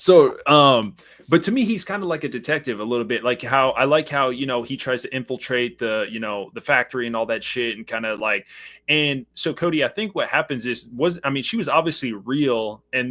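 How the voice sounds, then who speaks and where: On a very clean recording with a silent background, a man at medium pitch speaks loudly and fairly quickly in a bright, sharp tone. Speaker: horror movie podcast host. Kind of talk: casual chat. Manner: animated.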